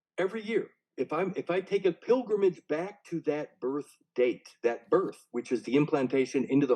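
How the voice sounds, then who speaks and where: Recorded in a dry, close sound with no echo, a man with a fairly high pitch and a dark, mellow tone speaks at a moderate pace with very wide pitch swings. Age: 60s. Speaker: author and interviewer. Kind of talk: casual chat. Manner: animated.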